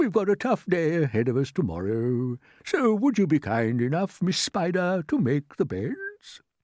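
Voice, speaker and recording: A put-on character voice with very wide pitch swings, moderate pace and a very clean recording with a silent background. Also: man, high pitch for a man. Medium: read story. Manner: courteous, measured.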